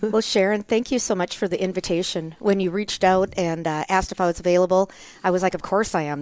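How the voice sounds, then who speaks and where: Talking at a very fast pace, a woman with a Minnesota accent keeps her intonation fairly even. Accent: Minnesotan, Scandinavian-tinged. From US Upper Midwest, Minnesota. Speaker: nurse anesthetist, guest co-host. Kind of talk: podcast interview.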